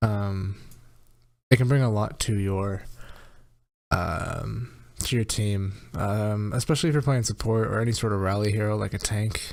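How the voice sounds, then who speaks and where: On a very clean recording with a silent background, a soft-spoken man with fairly low pitch and fairly even intonation speaks at a moderate pace with long, frequent pauses. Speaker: video game coach. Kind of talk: gameplay review commentary. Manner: rambling, hesitant with many ums.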